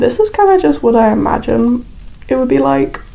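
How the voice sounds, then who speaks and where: A woman talks with a British accent. Noticeable background noise sits behind her voice. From Britain. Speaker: YouTuber building in a game. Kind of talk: casual voiceover commentary. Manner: casual, lots of filler words.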